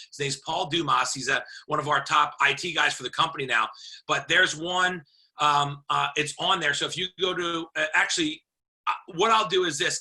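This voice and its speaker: Loud and bright with a sharp tone, the speaker moves at a fairly quick pace with fairly even intonation. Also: man. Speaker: network marketing team leader. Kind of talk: video call.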